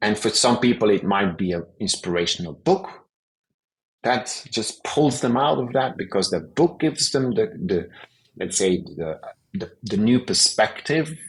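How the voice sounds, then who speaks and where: The voice moves at a fairly slow pace, with very wide pitch swings and vocal fry. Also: man, medium pitch for a man. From Belgium. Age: 50s. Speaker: osteopath and stress therapist. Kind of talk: podcast interview. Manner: halting, searching for words.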